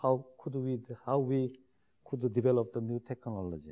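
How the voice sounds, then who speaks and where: A man with a Korean accent speaks in a dark, mellow tone. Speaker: shipbuilding executive. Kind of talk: lecture. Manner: halting.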